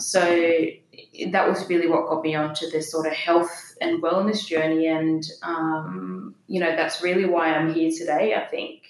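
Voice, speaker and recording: Over noticeable background noise, a woman speaks in a fairly low pitch. Her intonation is monotone and flat, at a moderate pace. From Denmark. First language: Danish. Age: 30s. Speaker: health coach and meditator. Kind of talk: casual interview chat.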